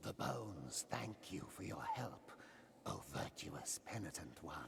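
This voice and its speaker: Whispering in a put-on character voice, a man speaks over clear background noise. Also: fairly slow pace. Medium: video game. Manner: slow, solemn, reverent.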